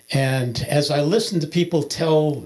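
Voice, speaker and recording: Typical pitch movement from a male speaker, with noticeable noise in the background. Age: 70s. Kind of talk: testimony. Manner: halting, many filler words.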